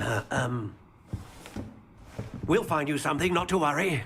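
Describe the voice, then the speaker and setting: A put-on character voice mumbles at a moderate pace. The intonation stays lively throughout. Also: man, fairly high pitch for a man. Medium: video game. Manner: mumbling, hesitant, full of hums and filler sounds.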